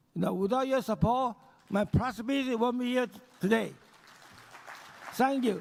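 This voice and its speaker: Over crowd noise in the background, a man speaks at a moderate pace with long, frequent pauses. His pitch is extremely high for a man, with ordinary variation. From Taiwan. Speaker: banker and businessman. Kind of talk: award acceptance speech. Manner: halting.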